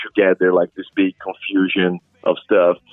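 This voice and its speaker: A man with a Portuguese accent talks at a fairly slow pace in a fairly low pitch. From Brazil. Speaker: rock singer and guitarist. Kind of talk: interview.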